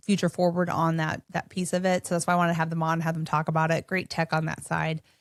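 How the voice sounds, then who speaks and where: Delivered very fast in a northern US accent, the speech has monotone, flat intonation and a dry, close sound with no echo. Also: woman. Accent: northern-sounding US. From Minnesota, US Midwest. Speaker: podcast host. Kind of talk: casual interview chat. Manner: casual, filler-heavy.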